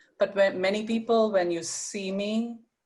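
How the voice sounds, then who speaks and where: A woman is speaking. Her pace is fairly slow. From India. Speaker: panelist, prevention professional. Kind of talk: panel presentation. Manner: hesitant, many fillers.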